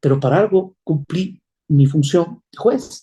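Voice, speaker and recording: A man talks with a fairly high pitch. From Ecuador. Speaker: presidential candidate, former judge. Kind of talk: political interview. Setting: interview program. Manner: emphatic, measured.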